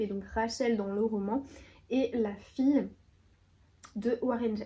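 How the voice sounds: A woman's voice comes through with a dark, mellow tone and fairly even intonation.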